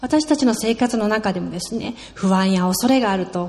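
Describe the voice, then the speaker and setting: Noticeable background noise sits behind a woman who speaks at a moderate pace with ordinary pitch variation. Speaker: sermon interpreter. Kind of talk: sermon. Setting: church with congregation.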